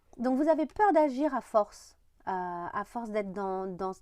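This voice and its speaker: The pace is moderate. The tone is dark and mellow. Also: woman, quiet background. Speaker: tarot reader. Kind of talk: tarot reading monologue. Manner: hesitant with fillers.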